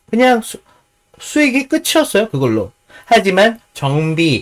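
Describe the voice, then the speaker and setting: A man is speaking. His pitch swings very widely. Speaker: stock market commentator. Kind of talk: stock analysis commentary. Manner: hesitant, many fillers.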